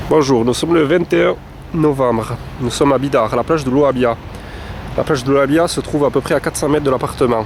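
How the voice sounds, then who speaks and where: Over noticeable background noise, the speech runs at a very fast pace with fairly even intonation and long, frequent pauses. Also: man, fairly high pitch for a man. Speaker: holiday rental owner. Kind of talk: guided video tour. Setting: outdoors. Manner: halting.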